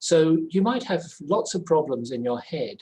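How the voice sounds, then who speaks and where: With a dark, mellow tone, a man delivers his words at a moderate tempo. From England. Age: 70s. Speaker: spiritual practitioner and journalist. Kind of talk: testimony. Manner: halting.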